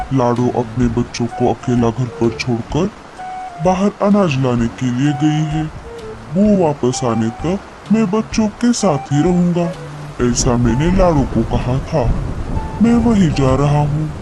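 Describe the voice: A man puts on a cartoonish character voice, fairly high in pitch and fairly slow. Clear background noise runs underneath.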